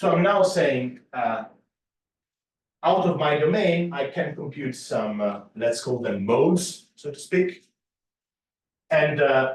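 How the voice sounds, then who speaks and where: A man speaks at a fairly high pitch with very wide pitch swings and a somewhat breathy quality. He goes at a very slow pace, with long, frequent pauses. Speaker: mathematics lecturer. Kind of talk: lecture.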